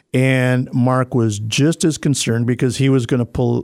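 A man's medium-pitched voice at a moderate pace, dry and close with no echo. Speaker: softball coach and official. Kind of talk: casual chat. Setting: studio. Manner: enthusiastic.

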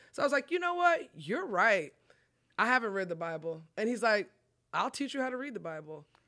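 A woman with an American accent, fairly high-pitched and bright, sharp in tone, talking at a fairly quick pace with very wide pitch swings. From Texas, Collin County. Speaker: pastor. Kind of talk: testimony.

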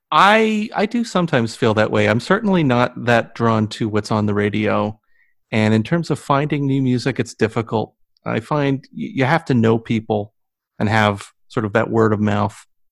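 A man with a normal speaking voice and a General American accent talks at a moderate pace and medium pitch. His pitch varies in an ordinary way, in a very clean recording with a silent background. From United States. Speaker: podcast host. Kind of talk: interview.

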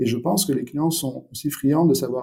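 A man talks at a very fast pace and a medium pitch, his voice somewhat breathy with a dark, mellow tone. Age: 40s. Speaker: startup founder and CEO. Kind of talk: interview. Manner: halting, with repetitions and fillers.

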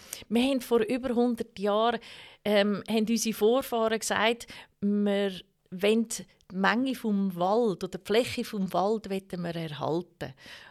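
Speaking at a fairly slow pace, a woman has an unremarkable speaking voice of medium pitch with ordinary pitch variation. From Switzerland, Canton of Zug (Baar). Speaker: cantonal government politician. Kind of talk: interview. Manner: many filler sounds.

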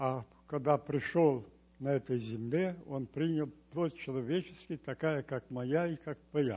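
Here a man speaks at a very slow pace. His tone is dark and mellow, and somewhat breathy. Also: fairly high pitch for a man, ordinary pitch variation. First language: Romanian (speaking Russian). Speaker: church member. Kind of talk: testimony.

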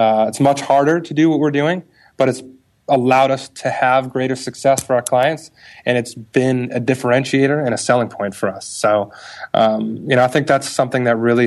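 Here a man speaks in a normal speaking voice at a moderate pace. His pitch is medium and his intonation fairly even. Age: 30s. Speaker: marketing agency executive. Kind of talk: interview.

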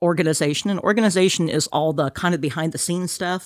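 Recorded very cleanly against a silent background, a woman with a very deep, low pitch talks at a fairly quick pace. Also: dry, close sound with no echo. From Kansas. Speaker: state downtown revitalization program director. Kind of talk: interview.

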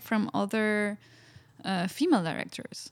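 With a Spanish accent, a woman speaks at a fairly slow pace. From Spain. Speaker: filmmaker and artist. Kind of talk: interview.

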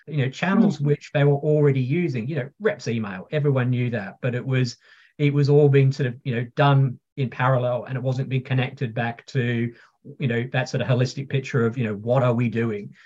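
A somewhat breathy man at a medium pitch, fairly quick in pace, with ordinary pitch variation. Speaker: pharma technology executive. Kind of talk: interview conversation. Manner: energetic.

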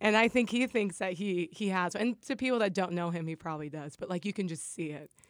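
Speaking at a very fast pace with hardly any pauses, a woman with an American accent uses a medium pitch and ordinary pitch variation. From US Midwest, Nebraska (Lincoln). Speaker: amateur boxer, former musical theater performer. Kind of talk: casual interview chat.

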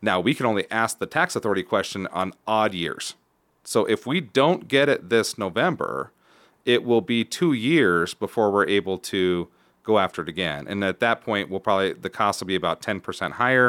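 A man's fairly low voice, a plain, everyday voice, at a moderate pace with lively intonation. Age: 30s. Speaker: school superintendent. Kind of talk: casual interview. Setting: studio.

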